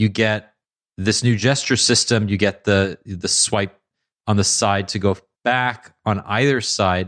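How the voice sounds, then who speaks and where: A man speaks at a fairly slow pace. His pitch sits fairly low. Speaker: podcast host. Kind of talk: casual chat.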